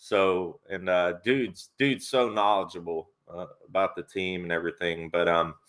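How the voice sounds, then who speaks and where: A man's very deep, low voice with a Tennessee accent, at a moderate pace with ordinary pitch variation. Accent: Southern US (Tennessee). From Tennessee, Nashville. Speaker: sports YouTuber and live stream host. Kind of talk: live stream chat.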